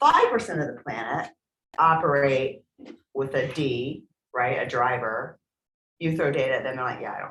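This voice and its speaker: A woman's very deep, low pitch with ordinary pitch variation and long, frequent pauses. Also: moderate pace, big swings in loudness. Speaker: real estate trainer. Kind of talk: training workshop. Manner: loud.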